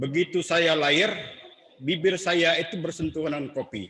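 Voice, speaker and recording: A man talks at a fairly slow pace. His pitch is fairly high, with ordinary pitch variation. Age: 60s. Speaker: book discussion speaker. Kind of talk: public talk.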